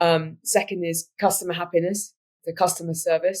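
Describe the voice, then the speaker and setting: A woman talks with a British accent. Her voice sits fairly low in pitch. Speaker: business executive. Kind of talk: interview.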